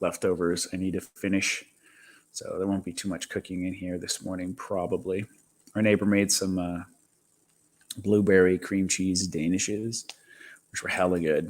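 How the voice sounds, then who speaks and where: Quiet and very deep, a man speaks at a moderate pace in a monotone, flat way with long, frequent pauses. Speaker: live streamer. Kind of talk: casual chat. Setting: home kitchen. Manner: quiet, keeping voice down.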